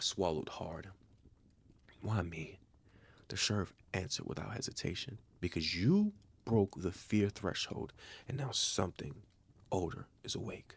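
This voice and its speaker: A man's somewhat breathy, fairly low voice at a moderate pace, with ordinary pitch variation and long, frequent pauses. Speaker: story narrator, channel owner. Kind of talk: calm horror story narration for bedtime.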